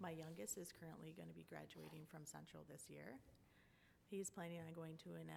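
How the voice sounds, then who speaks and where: With a Wisconsin accent, a woman talks at a fairly quick pace. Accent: Wisconsin (Upper Midwest). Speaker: school board candidate. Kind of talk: candidate forum statement. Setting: public forum with audience.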